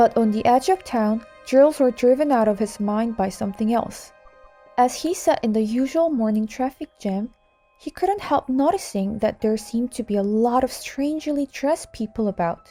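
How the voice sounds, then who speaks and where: A woman speaks at a fairly slow pace in a fairly high pitch with lively intonation, music playing in the background. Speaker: teacher and audiobook narrator. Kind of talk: English audiobook narration.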